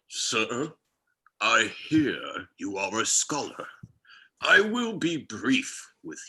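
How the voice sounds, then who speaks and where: A man talks at a very slow pace. He uses a put-on character voice. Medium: stage play. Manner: elaborate, courtly, wordy.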